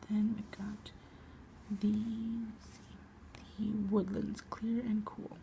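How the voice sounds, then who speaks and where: A soft-spoken voice with a gentle tone, over noticeable background noise. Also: woman. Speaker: ASMR artist. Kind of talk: ASMR comic book reading. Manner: soft-spoken, quiet, gentle.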